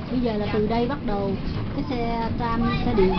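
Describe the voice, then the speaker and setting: A woman speaks at a very slow pace against loud background noise. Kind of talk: casual travel narration. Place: train. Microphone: phone near.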